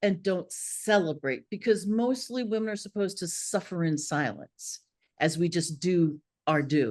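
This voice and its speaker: In an American accent, a normal speaking voice moves at a fairly slow pace with lively intonation over a quiet background. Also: woman. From Philadelphia. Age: 60s. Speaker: author. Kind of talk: interview.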